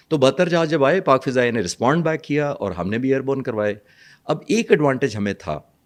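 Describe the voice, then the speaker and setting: A man at medium pitch with vocal fry and very wide pitch swings, at a moderate pace against a quiet background. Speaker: retired air force pilot, defence analyst. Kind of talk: interview explanation.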